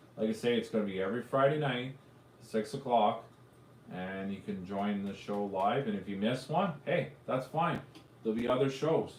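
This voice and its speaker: In a Canadian accent, a man of medium pitch speaks at a moderate pace with ordinary pitch variation, and the room echo is audible. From Canada, Ontario (Arnprior area). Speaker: drone youtuber hosting live show. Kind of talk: casual live stream chat. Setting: live stream.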